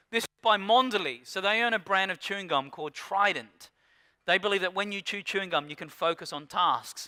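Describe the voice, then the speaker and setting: Speaking at a fairly quick pace, a man uses a raised, projected voice with a high pitch and a bright, sharp, animated tone, recorded dry and close with no echo against a very clean, silent background. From rural Australia. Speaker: keynote speaker on digital media. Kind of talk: conference keynote talk. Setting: stage with audience. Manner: fast.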